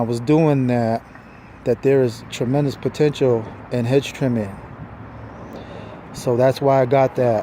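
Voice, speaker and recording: A man with a medium pitch speaks in a monotone, flat intonation amid noticeable background noise. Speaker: lawn care business owner. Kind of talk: casual video walkthrough. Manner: slow, halting.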